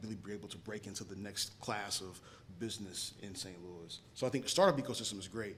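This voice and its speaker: Amid audible room echo, a man with an American accent and a fairly low pitch talks at a fairly quick pace with fairly even intonation. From South Carolina, Rock Hill. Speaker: panelist, startup professional. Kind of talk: panel discussion. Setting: stage with live audience. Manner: hesitant, filler-heavy.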